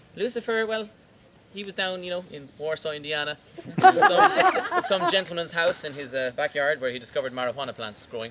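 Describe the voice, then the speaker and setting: A man with an Irish accent talks at a fairly quick pace in a high pitch and playful tone, with lively intonation, big swings in loudness and noticeable background noise. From Ireland. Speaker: tour guide. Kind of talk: humorous folklore storytelling to a tour group. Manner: playful, comic.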